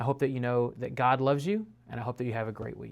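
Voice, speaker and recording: The recording is very clean, with a silent background. A man with a medium-pitched voice talks at a fairly quick pace with fairly even intonation. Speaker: preacher. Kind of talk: devotional talk. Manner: fast.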